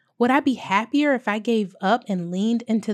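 A woman with an American accent and an unremarkable speaking voice, fairly high in pitch with ordinary pitch variation, at a moderate pace, in a dry, close sound with no echo and a very clean recording with a silent background. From US South, small-town South Carolina. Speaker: podcast host. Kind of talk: scripted monologue, motivational reflection.

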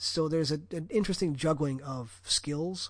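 A man with an American accent talks in a fairly high pitch with lively intonation. His tone is bright and sharp, and the background is quiet. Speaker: podcast host. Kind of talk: casual chat.

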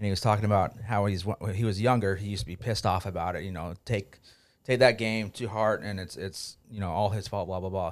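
A man with a fairly low pitch speaks at a very fast pace with fairly even intonation. The recording is very clean with a silent background. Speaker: podcast co-host. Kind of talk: casual podcast chat. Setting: studio.

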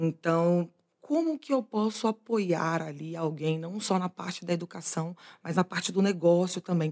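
A woman with a strong Bahian accent talks at a fairly slow pace and a fairly low pitch. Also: ordinary pitch variation. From Bahia interior, Brazil (Eunápolis). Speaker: e-commerce executive. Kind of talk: interview conversation.

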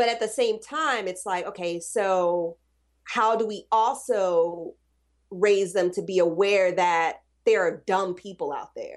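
A woman with an American accent speaks at a very slow pace in a medium pitch, with ordinary pitch variation against a quiet background. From US South. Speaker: postpartum doula. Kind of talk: casual chat.

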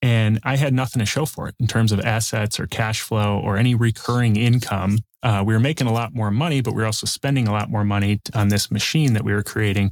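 A man with a medium pitch speaks very fast in a Chicago accent, with hardly any pauses and fairly even intonation. The recording is very clean and dry, close with no echo, over a silent background. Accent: Chicago-area American. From south suburbs of Chicago. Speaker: real estate investor and coach. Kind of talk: interview.

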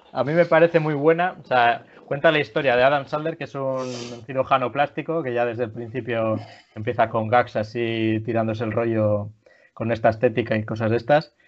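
Moderately paced, a plain, everyday voice carries ordinary pitch variation. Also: man, medium pitch for a man. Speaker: podcast host. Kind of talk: casual chat.

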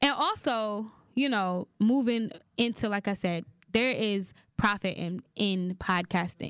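A woman with a plain, everyday voice at a medium pitch, with a fairly slow pace and ordinary pitch variation, in a very clean recording over a silent background. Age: young. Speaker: podcast co-host. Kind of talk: casual chat.

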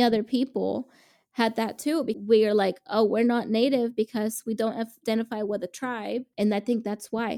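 A woman speaks with a fairly high pitch and a dark, mellow tone. Her pace is moderate, her pitch variation ordinary, and the recording very clean with a silent background. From Mexican immigrant family, raised in the US. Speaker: podcast co-host. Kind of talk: casual chat.

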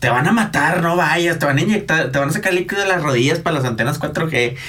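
A man talks in an animated tone. Audible room echo and noticeable background noise surround him. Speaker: podcast co-host. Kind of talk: casual chat.

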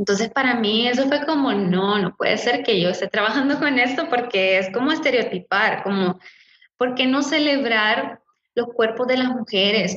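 A woman's normal speaking voice, fairly high in pitch with ordinary pitch variation, fairly slow and very even in loudness. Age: 30s. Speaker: image consultant and coach. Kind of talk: casual interview.

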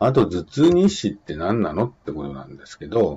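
Moderate pace, vocal fry and very wide pitch swings. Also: man. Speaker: exam prep instructor. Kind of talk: lecture. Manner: casual, hesitant with fillers.

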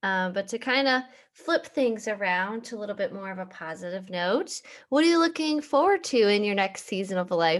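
With an unremarkable speaking voice at medium pitch, a woman speaks at a moderate pace with lively intonation against a quiet background. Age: 20s. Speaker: podcast host. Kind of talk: casual interview.

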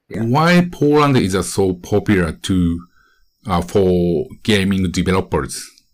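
Very slowly, a man speaks in a very deep, low pitch. His intonation is lively, on a very clean recording with a silent background. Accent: Japanese. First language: Japanese. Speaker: podcast host and gaming video creator. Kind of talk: casual podcast narration in Japanese; interview.

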